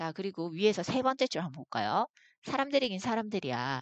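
A woman talks at a fairly quick pace, the sound dry and close with no echo and the background quiet. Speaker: English teacher. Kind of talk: lecture.

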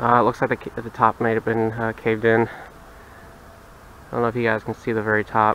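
Over light background noise, a man talks at a moderate pace in a monotone, flat intonation, the sound dry with no echo. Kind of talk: casual exploration commentary. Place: forest. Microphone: phone near.

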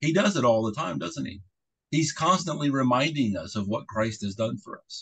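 A man's voice with vocal fry and very wide pitch swings. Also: moderate pace, big swings in loudness. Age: middle-aged. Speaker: pastor. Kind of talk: sermon. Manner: halting. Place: home room. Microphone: video call.

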